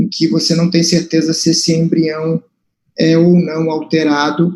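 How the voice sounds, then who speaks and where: In a Brazilian Portuguese accent, a man speaks at a fairly high pitch and a moderate pace, his dark, mellow tone held at very even loudness with monotone, flat intonation. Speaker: moderator at medical seminar. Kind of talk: question at academic seminar. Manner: halting. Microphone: transmission problems.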